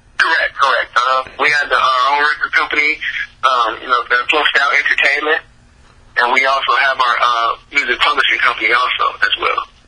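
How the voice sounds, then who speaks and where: There is noticeable background noise. Over it, a man talks at a fairly quick pace. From California, Bay Area. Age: 20s. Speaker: R&B singer and songwriter. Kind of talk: interview. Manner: halting, many fillers.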